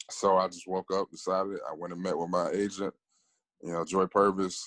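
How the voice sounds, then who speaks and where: A man with an American accent talks at a moderate pace in a very deep, low pitch. The sound is dry and close, with no echo. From Alabama. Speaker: actor. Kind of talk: interview. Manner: casual.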